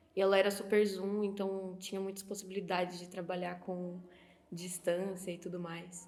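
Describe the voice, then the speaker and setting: At a fairly slow pace, a woman talks in a medium pitch with monotone, flat intonation, amid noticeable background noise and audible room echo. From Brazil, interior of São Paulo (Sorocaba). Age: 20s. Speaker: film student. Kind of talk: documentary interview testimony.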